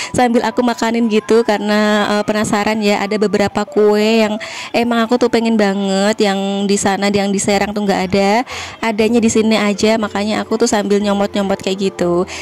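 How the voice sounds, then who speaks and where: There is noticeable background noise behind a woman's voice. She talks at a fairly quick pace with monotone, flat intonation. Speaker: vlogger. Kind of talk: voice-over vlog narration. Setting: in-laws' house in home village. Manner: casual, chatty. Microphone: no microphone, speaking directly.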